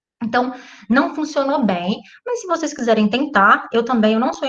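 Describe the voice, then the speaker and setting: The pace here is moderate. It belongs to a woman whose pitch sits fairly high. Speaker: physics teacher. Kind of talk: online class introduction.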